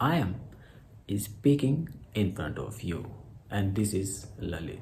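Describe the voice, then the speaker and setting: A man's very slow, somewhat breathy voice, fairly low in pitch, dark and mellow in tone, with lively intonation and audible room echo. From India, Haryana. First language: Hindi (Khari Boli dialect). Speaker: English teacher YouTuber. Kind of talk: tutorial vlog, mixed Hindi and English. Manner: halting, self-correcting.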